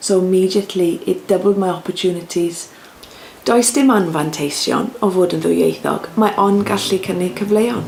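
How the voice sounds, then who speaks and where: A Welsh accent at a moderate pace, over noticeable background noise. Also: woman, medium pitch for a woman, ordinary pitch variation. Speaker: broadcast journalist. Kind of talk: interview testimony.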